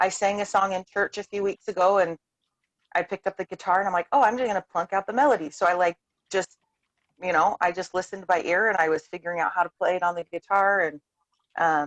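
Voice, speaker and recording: Using a plain, everyday voice, a woman with a medium pitch speaks at a fairly quick pace. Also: dry, close sound with no echo. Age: 30s. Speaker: homeschooling mother. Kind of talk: casual chat. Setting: video call.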